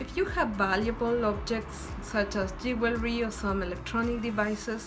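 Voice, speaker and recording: A woman with a Spanish accent amid noticeable background noise and audible room echo. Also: moderate pace. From Ecuador. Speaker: student vlogger. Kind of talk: tutorial.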